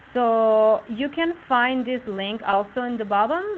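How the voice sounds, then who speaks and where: Speaking fairly slowly in an unremarkable speaking voice, a woman shows ordinary pitch variation. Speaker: webinar presenter. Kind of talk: tutorial. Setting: live online webinar.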